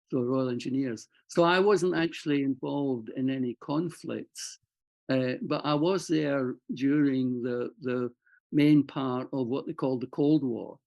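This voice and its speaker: Medium pitch and ordinary pitch variation from a man with a Scottish accent. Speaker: war veteran. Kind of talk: interview. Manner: halting.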